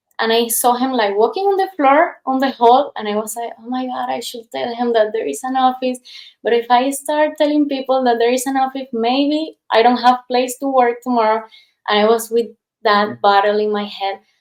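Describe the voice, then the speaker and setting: With a Spanish accent, a woman speaks at a moderate pace in a high pitch with ordinary pitch variation. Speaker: past life regression therapist. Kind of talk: casual interview chat. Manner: animated storytelling.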